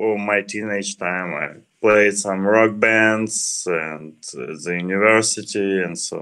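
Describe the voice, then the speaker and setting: Delivery comes at a very slow pace with a Ukrainian accent. Loudness swings widely throughout. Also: man. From Ukraine. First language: Ukrainian or Russian. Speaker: software developer. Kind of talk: tech talk.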